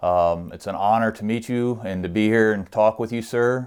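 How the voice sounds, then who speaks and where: In a plain, everyday voice, a man speaks at a moderate pace with fairly even intonation. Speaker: interviewer, channel host. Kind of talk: interview questions.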